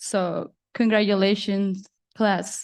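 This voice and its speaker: In a quiet setting, a woman's voice sits at a medium pitch. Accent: Spanish. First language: Spanish. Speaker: student speaker. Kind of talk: commencement speech.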